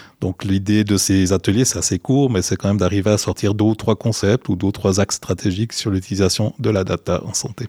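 Fairly quick and with hardly any pauses, the speech has fairly even intonation and a dry, close sound with no echo on a very clean recording with a silent background. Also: man, fairly low pitch for a man. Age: 50s. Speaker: innovation executive in health education. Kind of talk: interview. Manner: halting, repeats words.

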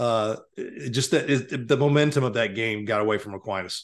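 Against a quiet background, a man with an ordinary speaking voice talks at a fairly low pitch with ordinary pitch variation. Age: 50s. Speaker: high school sports writer, podcast co-host. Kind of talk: casual sports chat. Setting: video call.

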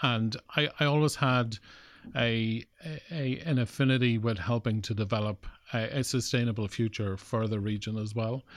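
This voice speaks with an Irish Midlands accent at a moderate pace, its intonation fairly even. The recording is very clean, with a silent background. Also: man, medium pitch for a man. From Ireland, Cavan/Longford border (Granard). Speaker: tech startup founder. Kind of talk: interview. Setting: studio.

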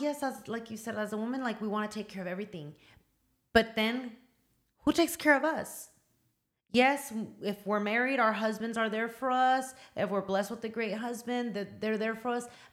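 Speaking at a fairly quick pace, a woman uses an unremarkable speaking voice with a fairly high pitch and ordinary pitch variation. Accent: American. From Southern California, Oxnard. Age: 30s. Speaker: small business owner. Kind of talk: casual chat. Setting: studio.

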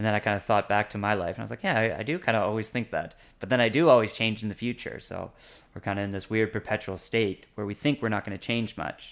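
A man with a Canadian accent, fairly low in pitch, at a very fast pace with ordinary pitch variation. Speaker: language learner. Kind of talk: casual interview.

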